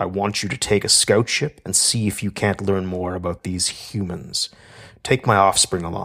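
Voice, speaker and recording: A put-on character voice from a man, very deep and low in pitch, at a moderate pace, on a very clean recording with a silent background. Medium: read story. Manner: commanding, cold, imperious.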